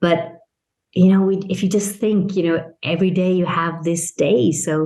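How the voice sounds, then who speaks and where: Audible room echo surrounds a woman whose fairly low voice has a dark, mellow tone. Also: fairly even intonation, moderate pace. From Italian-Irish international upbringing. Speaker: business consultant and mentor. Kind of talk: podcast interview.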